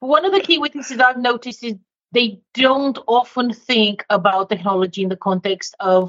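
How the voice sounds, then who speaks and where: A woman speaks at a fairly quick pace with a slight non-native accent. Her pitch varies in an ordinary way. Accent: slight foreign twang in English. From Romania. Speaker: leadership consultant. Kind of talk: interview. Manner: direct.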